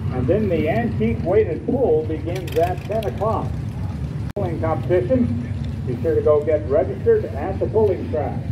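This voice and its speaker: Noticeable background noise sits under speech that proceeds at a moderate pace. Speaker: event announcer. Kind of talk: public announcements. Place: open country.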